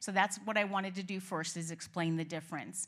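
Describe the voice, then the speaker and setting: Someone speaks with a Boston accent at a fairly quick pace, keeping the intonation fairly even. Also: woman. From Boston area. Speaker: nurse practitioner. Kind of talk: informational talk at staff meeting.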